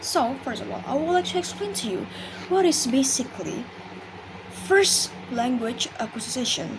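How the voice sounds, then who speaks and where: A woman's high voice in very wide pitch swings, with long, frequent pauses, noticeable background noise and audible room echo. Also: moderate pace. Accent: Indonesian. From Indonesia. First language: Indonesian. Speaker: university student. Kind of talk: class presentation. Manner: halting, many fillers.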